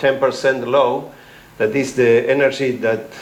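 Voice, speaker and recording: Speech in a Spanish accent carries audible room echo over noticeable background noise. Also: man. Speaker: ecology researcher. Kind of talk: academic talk. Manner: halting, many fillers.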